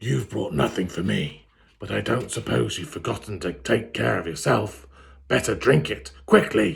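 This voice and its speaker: A man puts on a booming, raspy character voice with a very deep, low pitch. His pitch swings very widely and his loudness rises and falls sharply. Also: moderate pace. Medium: read story. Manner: scornful, imperious.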